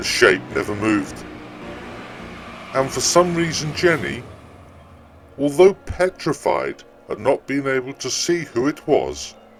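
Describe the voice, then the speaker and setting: With music in the background, a man speaks at a fairly slow pace, leaving long, frequent pauses. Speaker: storyteller. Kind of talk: ghost story reading.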